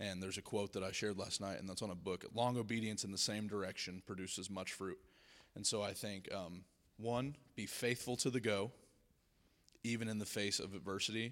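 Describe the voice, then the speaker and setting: With an American accent and a normal speaking voice, a man talks at a fairly quick pace with fairly low pitch and fairly even intonation on a very clean recording with a silent background. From US South. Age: 20s. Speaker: speaker at a school spiritual week. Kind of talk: Q and A with students. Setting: stage with student audience.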